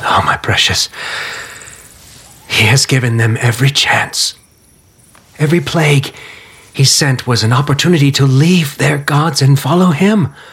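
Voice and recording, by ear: Using a put-on character voice, a man speaks fairly slowly at a medium pitch with a fairly bright tone, a husky, rough edge, ordinary pitch variation and long, frequent pauses.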